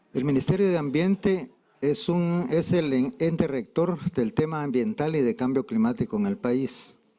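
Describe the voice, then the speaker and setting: With noticeable background noise behind him, a man speaks at a fairly slow pace in a fairly high pitch that makes very wide swings. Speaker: government representative. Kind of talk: conference speech.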